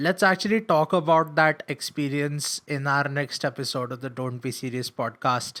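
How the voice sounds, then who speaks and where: Recorded with a dry, close sound and no echo, a man with a fairly high pitch and a bright, sharp tone speaks at a moderate pace with hardly any pauses and ordinary pitch variation. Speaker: podcast host. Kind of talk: casual chat.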